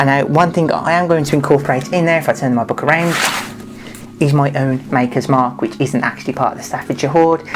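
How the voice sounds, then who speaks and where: A woman talks at a very fast pace in an animated tone, her pitch very deep and low. Music plays in the background. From Birmingham, England. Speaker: DIY leather crafter and costume maker. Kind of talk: tutorial; casual chat to camera.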